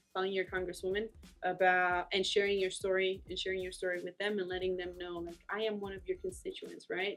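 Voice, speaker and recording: A woman with a medium-pitched voice speaks with a Spanish accent over music in the background. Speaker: immigrant advocacy organizer. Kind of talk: interview. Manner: halting, many fillers.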